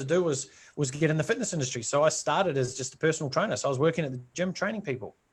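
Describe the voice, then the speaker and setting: Speaking very fast in a New Zealand accent, a man with a fairly high pitch uses ordinary pitch variation. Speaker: entrepreneur. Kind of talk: interview. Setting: live video stream.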